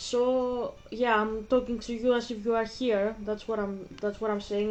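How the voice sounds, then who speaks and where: In a Greek accent, a woman with a fairly high pitch and a dark, mellow tone speaks at a moderate pace with monotone, flat intonation. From Greece (Athens). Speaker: gaming vlogger. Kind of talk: casual chat. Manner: halting.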